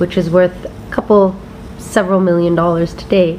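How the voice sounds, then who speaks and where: With an American accent, a woman speaks in a monotone, flat way at medium pitch and a moderate pace, with noticeable background noise. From India, Bombay. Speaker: former tennis player turned media entrepreneur. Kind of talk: personal testimony.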